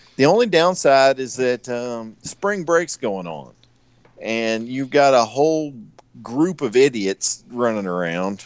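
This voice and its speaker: A medium-pitched man in an American accent, very slow, with very wide pitch swings. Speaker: knifemaker and former Navy boarding officer. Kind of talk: casual chat, joking banter. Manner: joking, irreverent.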